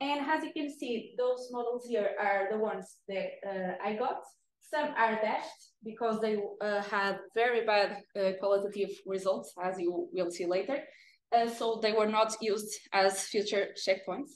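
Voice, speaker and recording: A woman with a Portuguese accent speaks at a fairly slow pace and fairly high pitch with ordinary pitch variation, amid light background noise and audible room echo. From northern Portugal, Viana do Castelo; northern Portugal. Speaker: data engineer presenting research. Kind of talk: academic presentation. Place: meeting room.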